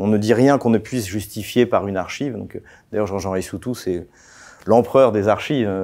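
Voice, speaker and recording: Against a quiet background, a man speaks fairly quickly with a fairly low pitch, a dark, mellow tone and ordinary pitch variation. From France, Champagne; France. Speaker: political analyst; guest. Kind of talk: interview. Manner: hesitant, many fillers. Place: studio. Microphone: lapel.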